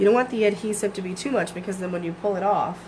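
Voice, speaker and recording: A woman speaks with fairly even intonation. Room echo and noticeable background noise come through. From Michigan, US. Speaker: craft demonstrator. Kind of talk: live craft tutorial. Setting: home basement livestream. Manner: casual, filler-heavy.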